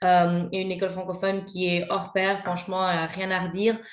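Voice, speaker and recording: A medium-pitched woman with a Belgian accent at a moderate pace, in audible room echo. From Belgium. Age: 30s. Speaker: mother sharing her experience. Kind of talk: podcast interview. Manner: hesitant, many fillers.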